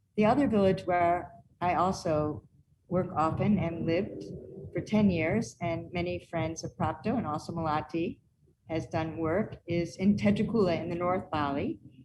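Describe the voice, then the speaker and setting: Her fairly low voice moves at a moderate pace, and the woman shows ordinary pitch variation. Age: 60s. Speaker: performance artist and researcher. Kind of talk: online presentation with demonstration.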